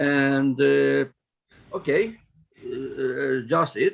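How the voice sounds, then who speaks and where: A man speaks with a Ukrainian accent. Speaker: politician. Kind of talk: interview. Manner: halting.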